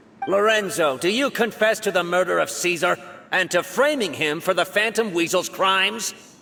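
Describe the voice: A man in a put-on character voice speaks at a moderate pace, high-pitched, bright and sharp in tone, with vocal fry. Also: ordinary pitch variation.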